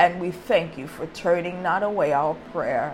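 A woman talks with a fairly low pitch. There is noticeable background noise. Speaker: preacher. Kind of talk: sermon with prayer. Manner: formal, archaic religious diction; slow, deliberate when praying.

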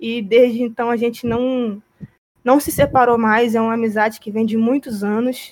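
Her voice is high, and she is a woman speaking at a moderate pace. Her intonation stays monotone and flat. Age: 30s. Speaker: podcast co-host. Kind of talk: casual chat.

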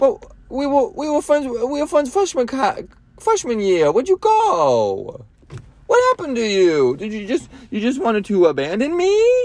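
In a put-on character voice that is whiny, with a whiny tone and high pitch, the speaker goes at a fairly slow pace. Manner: annoying, whiny.

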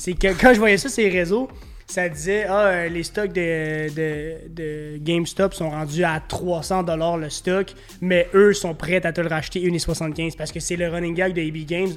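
In a Quebec accent, a man speaks very slowly at a high pitch with fairly even intonation. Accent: Québécois French. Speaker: podcast host. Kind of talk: casual chat.

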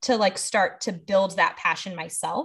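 A woman speaks with an American accent in a somewhat breathy voice. The background is quiet. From Los Angeles, US. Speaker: school literacy administrator. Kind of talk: podcast interview.

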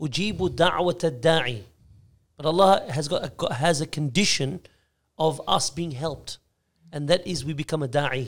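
On a very clean recording with a silent background, a man with an Australian accent talks at a moderate pace in a fairly high pitch, with ordinary pitch variation and long, frequent pauses. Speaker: Islamic scholar, former imam. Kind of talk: casual chat. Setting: studio.

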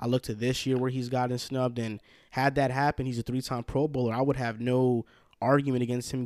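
A man's medium-pitched voice with a New Jersey accent. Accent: New York-like New Jersey. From Hackensack, New Jersey. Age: 20s. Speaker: sports podcast host, guest. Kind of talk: casual sports chat. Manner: energetic.

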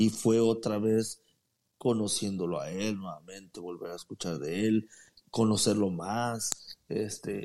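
Here a man talks at a fairly slow pace in a dark, mellow tone. His intonation stays fairly even. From Mexico, Guadalajara, Jalisco. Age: 40s. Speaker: former footballer. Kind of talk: interview. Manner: halting.

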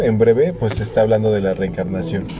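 A man's voice with music in the background. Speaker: podcast host. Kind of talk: casual chat.

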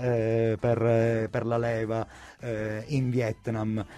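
Dark, mellow tone from a man at a medium pitch. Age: 40s. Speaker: radio presenter. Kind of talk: casual chat. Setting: studio.

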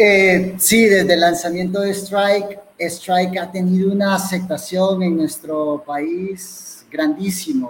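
A man with a Salvadoran accent speaks at a very slow pace in a high pitch with fairly even intonation. Noticeable background noise can be heard. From El Salvador, coastal community. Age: 30s. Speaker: bitcoin community organizer. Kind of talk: online interview.

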